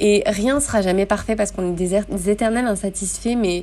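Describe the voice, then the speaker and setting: A woman with a plain, everyday voice speaks at a moderate pace and a medium pitch, her intonation fairly even. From France, Grenoble. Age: 30s. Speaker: yoga teacher. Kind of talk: casual interview.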